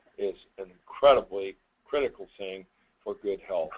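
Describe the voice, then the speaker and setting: A man's voice at a fairly low pitch. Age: 80s+. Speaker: company founder. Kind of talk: webinar presentation. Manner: halting.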